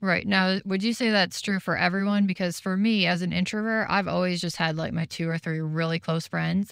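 In a very clean recording with a silent background, a woman at a medium pitch talks at a fairly quick pace with hardly any pauses and fairly even intonation. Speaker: podcast co-host. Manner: quiet, soft-spoken.

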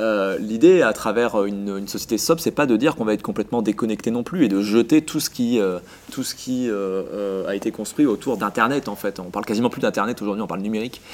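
At a fairly quick pace with hardly any pauses, a man speaks in a normal speaking voice, fairly low in pitch with ordinary variation. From southern France, Vaucluse near Avignon. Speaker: essayist and local politician. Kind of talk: interview.

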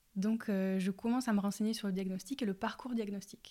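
Her voice is medium in pitch, with a dark, mellow tone and monotone, flat intonation. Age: 20s. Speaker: patient advocate and platform founder. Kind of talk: testimony. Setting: at home. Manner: halting.

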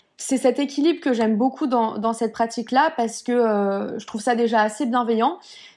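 A woman with a fairly high pitch talks at a moderate pace with hardly any pauses and ordinary pitch variation, on a very clean recording with a silent background. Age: 20s. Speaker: Pilates teacher and entrepreneur. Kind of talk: casual interview chat. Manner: hesitant, many fillers.

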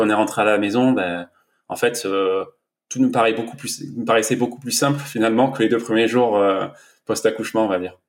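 On a very clean recording with a silent background, a man uses an ordinary speaking voice at a medium pitch with fairly even intonation. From southern France, Var. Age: 30s. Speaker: entrepreneur and new father. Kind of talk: casual interview.

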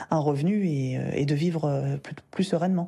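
Her voice is dark and mellow, and this woman talks at a moderate pace with ordinary pitch variation over a quiet background. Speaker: personal development coach and podcast host. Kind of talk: solo podcast monologue, advice talk. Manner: casual, conversational with fillers.

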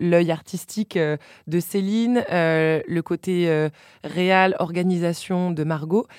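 A woman with a fairly low pitch is heard in a dry, close sound with no echo, on a very clean recording with a silent background. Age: 30s. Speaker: journalist and podcast host. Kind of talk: casual chat. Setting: studio.

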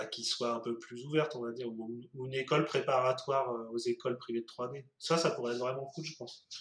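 This man has a plain, everyday voice at medium pitch, with fairly even intonation. He talks at a fairly quick pace with hardly any pauses and big swings in loudness. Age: 30s. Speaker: 3D artist. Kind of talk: casual interview.

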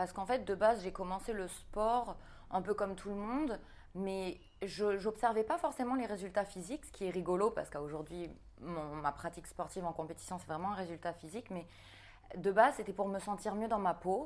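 Someone speaks at a fairly quick pace in a plain, everyday voice with ordinary pitch variation. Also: woman, medium pitch for a woman. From New Caledonia. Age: 30s. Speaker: fitness coach and bodybuilding athlete. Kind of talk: casual interview.

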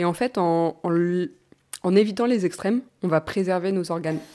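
This woman's tone is dark and mellow. Her voice sits fairly low. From Normandy, France. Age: 20s. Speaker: naturopath. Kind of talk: casual interview. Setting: studio.

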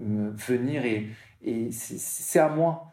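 This man's voice sits at medium pitch, with a dark, mellow tone and ordinary pitch variation. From southern France, Martigues near Marseille. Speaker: para-surfer, motivational speaker. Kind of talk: interview. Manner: halting, many repetitions.

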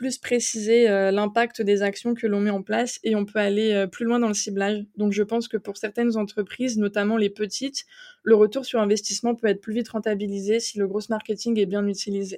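This woman talks at a moderate pace in a fairly high pitch with a dark, mellow tone and monotone, flat intonation. The sound is dry and close, with no echo. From eastern France. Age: 20s. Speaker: growth marketer. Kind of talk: interview.

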